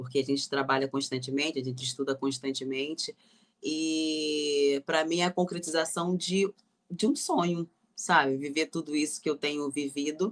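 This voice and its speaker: A woman with a very deep, low pitch talks at a moderate pace with fairly even intonation. The sound is dry and close, with no echo. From Rio de Janeiro. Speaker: actress and gospel singer. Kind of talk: interview answer.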